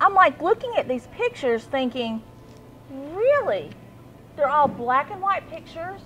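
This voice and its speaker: With an Appalachian accent, a woman speaks at a moderate pace in an extremely high voice, her pitch swinging very widely and her loudness shifting greatly, with long, frequent pauses and noticeable background noise. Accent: Appalachian country. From Central Appalachia. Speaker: talk show host. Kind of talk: casual chat.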